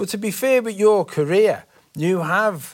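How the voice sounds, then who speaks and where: This clip has a normal speaking voice with lively intonation, delivered at a fairly slow pace. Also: man. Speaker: interviewer. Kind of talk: interview.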